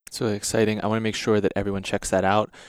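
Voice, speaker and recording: A man at a very fast pace, in a very clean recording with a silent background and a dry, close sound with no echo. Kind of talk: interview conversation.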